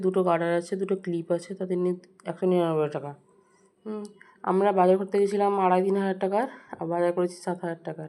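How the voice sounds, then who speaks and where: The intonation stays flat and monotone in a voice with a dark, mellow tone. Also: woman. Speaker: vlogger. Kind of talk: vlog narration. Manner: casual, rambling delivery.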